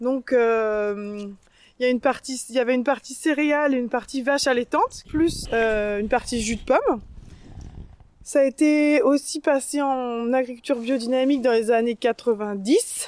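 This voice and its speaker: Her pitch high and varying in an ordinary way, a woman speaks. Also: moderate pace. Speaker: farmer. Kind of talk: interview during farm tour. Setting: outdoors. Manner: hesitant, many fillers.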